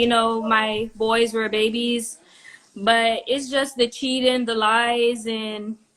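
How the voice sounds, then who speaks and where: Very slow, monotone, flat speech from a woman with a Jamaican accent at a fairly high pitch. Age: 30s. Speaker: dating show contestant. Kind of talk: casual chat.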